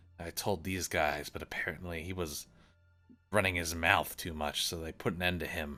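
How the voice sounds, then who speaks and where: In a raspy, put-on character voice with a very deep, low pitch, a man speaks at a moderate pace while faint music plays in the background. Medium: actual play. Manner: folksy pirate talk with 'aye' and 'matey'.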